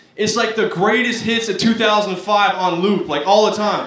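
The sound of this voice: A man's high voice with an American accent, ordinary pitch variation and audible room echo. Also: moderate pace, fairly bright tone.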